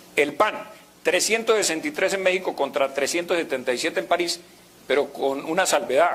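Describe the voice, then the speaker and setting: Against noticeable background noise, a man with a Latin American accent talks at a fairly quick pace with ordinary pitch variation. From Colombia. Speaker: university professor. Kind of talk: conference lecture. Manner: conversational, hesitant.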